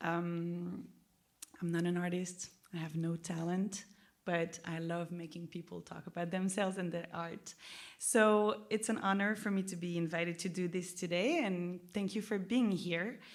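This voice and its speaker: A woman speaks with a French accent at a moderate pace. Her fairly low voice keeps a fairly even intonation. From France. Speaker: interviewer, record label head. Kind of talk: public onstage interview. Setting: stage with audience. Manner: casual, hesitant with fillers.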